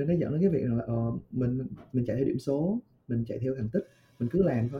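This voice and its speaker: A man's somewhat breathy, medium-pitched voice at a very fast pace, with lively intonation. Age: 20s. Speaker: podcast guest. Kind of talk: casual chat. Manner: halting.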